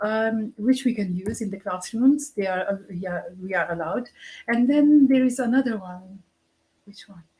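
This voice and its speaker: The voice sounds somewhat breathy, with a dark, mellow tone. Its loudness swings a lot. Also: woman, fairly high pitch for a woman, ordinary pitch variation, moderate pace. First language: Punjabi. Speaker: university English language lecturer. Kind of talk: casual interview chat.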